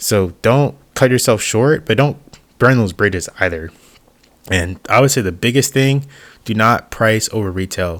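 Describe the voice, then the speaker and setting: On a very clean recording with a silent background, a man speaks at a medium pitch. He is soft-spoken and keeps a moderate pace. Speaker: YouTuber, sim racing hobbyist. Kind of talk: voiceover tutorial. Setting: voiceover over B-roll. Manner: casual, hesitant with fillers.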